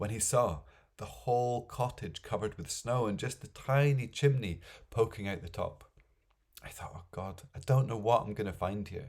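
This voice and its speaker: A man's somewhat breathy, medium-pitched voice at a moderate pace, with ordinary pitch variation and big swings in loudness. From Scotland. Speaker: storyteller. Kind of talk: folk tale storytelling.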